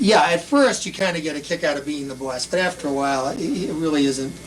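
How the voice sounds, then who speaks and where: Someone with a Boston accent talks at a fairly quick pace over noticeable background noise. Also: man. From Boston area, Massachusetts. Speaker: school principal. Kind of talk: interview. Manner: casual, halting.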